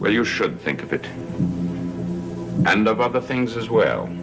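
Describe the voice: Faint music sits behind a man doing a put-on character voice, fairly low-pitched with vocal fry and a fairly bright tone. He speaks at a fairly slow pace, his pitch swinging widely.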